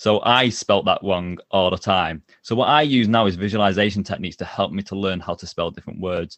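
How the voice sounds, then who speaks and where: A man with a normal speaking voice, fairly low pitch, ordinary pitch variation and hardly any pauses. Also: fairly quick pace. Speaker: job interview coach and author. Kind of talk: interview conversation. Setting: video call.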